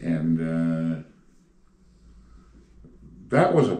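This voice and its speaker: A man speaks in a very deep, low voice. There is audible room echo. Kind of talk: interview answer. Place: home room.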